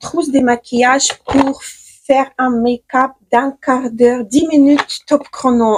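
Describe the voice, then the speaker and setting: A woman speaks at a high pitch in a Ukrainian accent. The sound is dry and close, with no echo. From Ukraine. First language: Ukrainian (speaking French). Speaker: beauty stylist, makeup vlogger. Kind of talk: makeup tutorial. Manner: hesitant, many fillers and restarts.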